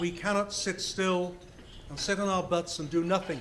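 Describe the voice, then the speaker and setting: A man's high-pitched, monotone, flat voice at a moderate pace, with noticeable background noise. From Scotland. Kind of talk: speech.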